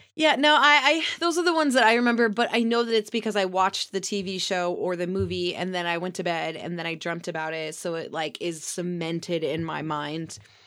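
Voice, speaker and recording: A woman talks at a fairly quick pace with hardly any pauses, in an ordinary speaking voice. Her pitch is medium and her intonation lively. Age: 40s. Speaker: podcast co-host. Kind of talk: casual chat.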